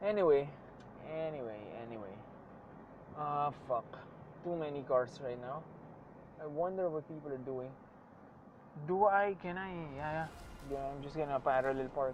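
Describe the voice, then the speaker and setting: The speaker has a Filipino accent and moves at a moderate pace, with long, frequent pauses. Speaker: vlogger. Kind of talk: casual monologue while driving. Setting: in a car. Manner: casual, code-switching.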